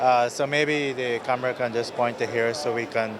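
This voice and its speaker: Over noticeable background noise, a man with a Guyanese accent speaks at a medium pitch with fairly even intonation. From Guyana. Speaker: telecom company executive. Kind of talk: interview. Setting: exhibition booth at a conference.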